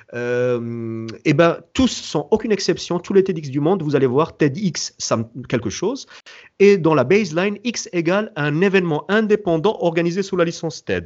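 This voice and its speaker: Here a man speaks in a high pitch with lively intonation. His pace is moderate. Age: 40s. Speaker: entrepreneur and event founder. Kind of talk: interview. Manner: halting.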